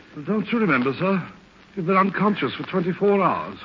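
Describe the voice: A man puts on a character voice with a high pitch, big pitch swings, and a slightly husky edge. He mumbles at a fairly quick pace.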